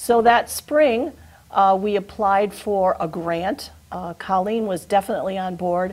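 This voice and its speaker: In an American accent, a woman with a plain, everyday voice speaks at a medium pitch and a fairly slow pace, her pitch varying in an ordinary way. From western Massachusetts (Chicopee). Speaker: retired teacher, program volunteer. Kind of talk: TV interview.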